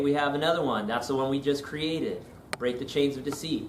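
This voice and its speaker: A man with a fairly high pitch speaks at a fairly quick pace and fairly even intonation, with noticeable background noise and audible room echo. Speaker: pastor. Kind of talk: webinar tutorial and sales pitch. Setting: live online webinar. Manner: fast.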